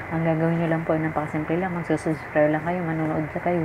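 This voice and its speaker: Noticeable background noise sits behind a soft-spoken woman. Her pitch is very deep and low. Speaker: vlogger. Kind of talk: livestream talk to viewers. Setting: at home late at night, others asleep. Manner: soft-spoken, lowered voice at night. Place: home room. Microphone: phone near.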